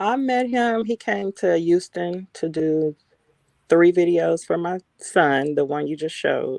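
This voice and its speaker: In a Texas accent, a woman with a fairly low pitch and very wide pitch swings speaks at a fairly slow pace, with a dry, close sound and no echo. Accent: Southern US, Texas. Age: 40s. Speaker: interview guest. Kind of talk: interview.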